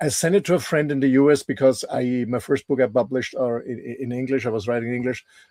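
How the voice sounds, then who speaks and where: A man with a non-native accent and a medium pitch talks at a very fast pace with ordinary pitch variation, in a dry, close sound with no echo. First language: not English. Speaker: entrepreneur and author. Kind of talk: casual interview chat. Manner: halting, repeats words.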